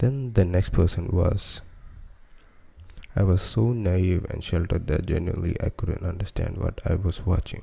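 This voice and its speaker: A soft-spoken man talks at a moderate pace with a very deep, low pitch and a dark, mellow tone. His voice is somewhat breathy and his intonation fairly even. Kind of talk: ASMR soft-spoken story narration.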